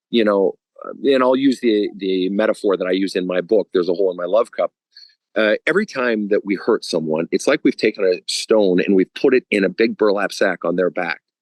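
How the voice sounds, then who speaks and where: An unremarkable speaking voice with an American accent moves at a fairly quick pace with ordinary pitch variation. The sound is dry and close with no echo. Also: man, fairly low pitch for a man. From Minnesota. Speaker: spiritual counselor. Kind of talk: podcast interview answer.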